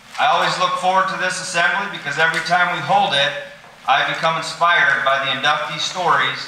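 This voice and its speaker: A man speaks at a very fast pace. There is audible room echo and light background noise. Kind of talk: ceremony speech. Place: hall. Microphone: podium.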